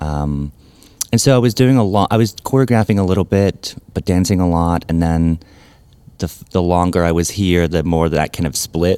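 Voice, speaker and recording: The speaker is a man with a very deep, low pitch. His pitch varies in an ordinary way. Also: moderate pace. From Scotland, Glasgow. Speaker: ballet artistic director and choreographer. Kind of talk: interview conversation.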